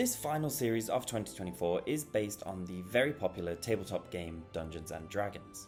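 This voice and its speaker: A man with a fairly low pitch talks fairly quickly, with hardly any pauses and lively intonation. Music plays behind him. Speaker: toy reviewer. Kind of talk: product review narration.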